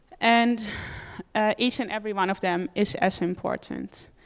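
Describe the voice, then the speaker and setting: Over a very clean recording with a silent background, a woman speaks at a moderate pace with fairly even intonation. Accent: Dutch. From Netherlands. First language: Dutch. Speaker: animal rights campaigner. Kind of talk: conference talk.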